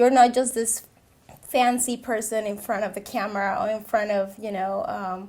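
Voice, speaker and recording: A woman with a Peruvian accent speaks at a fairly high pitch and a moderate pace, her intonation fairly even. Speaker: social media consultant, veteran. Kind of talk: interview.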